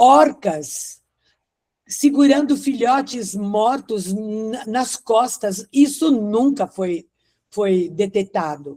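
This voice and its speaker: Speaking very slowly, a woman with a fairly high pitch and a dark, mellow tone uses lively intonation. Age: 70s. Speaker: study group participant. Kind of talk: group study discussion. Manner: halting.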